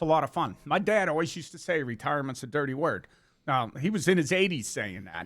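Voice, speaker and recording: A man talks at a very fast pace with a fairly high pitch, very wide pitch swings and vocal fry. The recording is very clean, with a silent background. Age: 60s. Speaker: shredding equipment company CEO. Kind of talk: interview. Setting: back of a shred truck.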